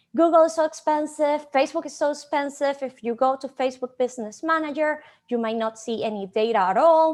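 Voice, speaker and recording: A woman's high-pitched voice with a Venezuelan accent, fairly quick and with hardly any pauses, ordinary pitch variation, and a quiet background. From Venezuela, Maracaibo. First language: Spanish. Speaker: conference speaker, digital marketing manager. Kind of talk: conference presentation. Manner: animated.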